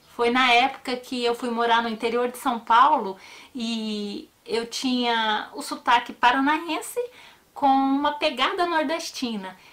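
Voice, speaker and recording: Her pitch is high, with ordinary variation, and her loudness swings widely. The woman talks at a fairly slow pace. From Paraná, Brazil, raised in a Northeastern family. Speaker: true crime YouTuber. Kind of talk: casual personal talk to viewers; narration of a true crime case.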